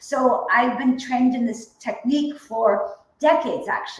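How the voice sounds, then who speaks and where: The tone is animated, at a moderate pace. Noticeable background noise runs underneath. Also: woman. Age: 60s. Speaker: energy healing coach. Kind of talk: casual interview chat. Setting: live stream video call.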